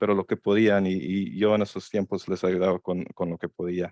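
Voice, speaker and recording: With an English accent, a man speaks at a moderate pace in a very deep, low pitch. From Chicago, US Midwest; Mexican-American family. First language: English (speaking Spanish). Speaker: lawyer. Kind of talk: seminar presentation. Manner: halting, many fillers.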